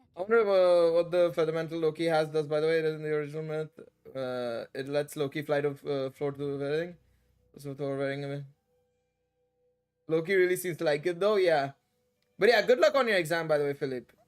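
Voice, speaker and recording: Over background music, a man with an American accent talks at a fairly quick pace with ordinary pitch variation and long, frequent pauses. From India. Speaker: gaming streamer. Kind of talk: livestream chat. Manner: halting.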